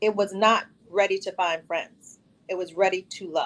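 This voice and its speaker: A woman's unremarkable speaking voice at medium pitch, fairly slow in pace, with an American accent. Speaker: reality show contestant. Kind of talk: casual chat. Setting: video call.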